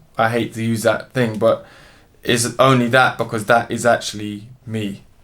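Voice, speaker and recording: The speaker is a man. He talks with a London accent. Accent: London urban. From London, England. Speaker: musician and zoologist. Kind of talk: interview. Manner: casual, hesitant with fillers.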